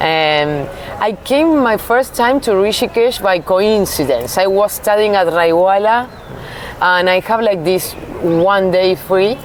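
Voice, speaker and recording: A woman's voice with noticeable background noise. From Uruguay. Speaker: Ayurveda practitioner. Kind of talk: interview. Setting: outdoor festival.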